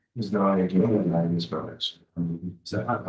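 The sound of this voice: A man puts on a character voice, mumbling at a fairly slow pace with a fairly low pitch and fairly even intonation.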